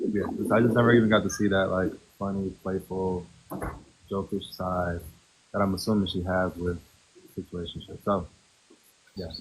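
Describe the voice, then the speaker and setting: A soft-spoken man talks in a very deep, low voice with monotone, flat intonation. He keeps a moderate pace, broken by long, frequent pauses. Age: 30s. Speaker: reality TV contestant. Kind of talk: casual chat. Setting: TikTok live stream. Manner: laid back.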